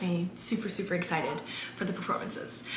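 Noticeable background noise fills the recording. A woman speaks at a fairly quick pace. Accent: American. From Maryland. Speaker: actress. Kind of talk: casual vlog talk to camera. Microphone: phone near.

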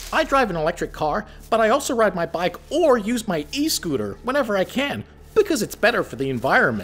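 This cartoonish character voice runs at a fairly quick pace with a fairly high pitch. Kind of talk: comic overacting. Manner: chirpy, earnest, oblivious.

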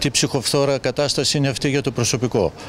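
The man's voice sounds dry with no echo, over light background noise. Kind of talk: interview answer. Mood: concerned, critical. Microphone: handheld.

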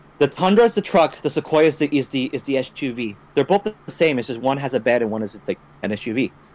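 Here a man has a normal speaking voice, pitched fairly high, with lively intonation. The sound is dry and close, with no echo. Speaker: gaming podcast co-host. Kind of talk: casual chat. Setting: online voice call.

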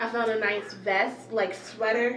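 A woman with an American accent speaks at a fairly high pitch in a flat monotone. Audible room echo and light background noise surround her voice. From US South. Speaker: beauty and fashion vlogger; fashion vlogger. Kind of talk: casual haul video. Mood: cheerful, relaxed. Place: home room. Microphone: phone camera mic; phone near.

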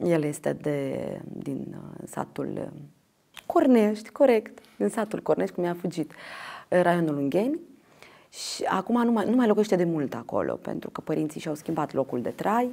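A woman speaks at a moderate pace in a fairly low pitch with vocal fry, a dark, mellow tone and very wide pitch swings, over a quiet background. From Moldova, Ștefan Vodă district; Moldova. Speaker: actress and theatre director; interview guest. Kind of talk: interview; interview answer. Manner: halting. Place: studio. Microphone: lapel.

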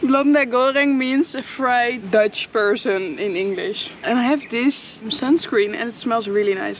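A woman at a fairly slow pace, ordinary pitch variation, noticeable background noise behind her. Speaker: travel vlogger. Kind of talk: casual vlog chat. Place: beach. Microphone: phone near.

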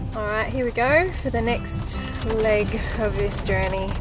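Clear music plays in the background of this dry recording with no echo. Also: woman. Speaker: vlogger. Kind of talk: casual vlog chat. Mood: calm, warm. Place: car. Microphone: phone near.

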